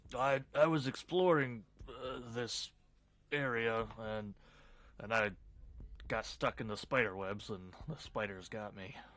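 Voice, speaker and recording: A man's put-on character voice, gruff and raspy at medium pitch, fairly slow with long, frequent pauses and big swings in loudness. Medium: actual play. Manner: halting, stammering.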